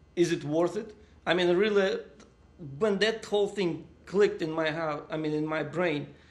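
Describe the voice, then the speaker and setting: A man's high-pitched voice with a Russian accent, moderately paced with long, frequent pauses and fairly even intonation. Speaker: interviewee. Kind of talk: casual chat.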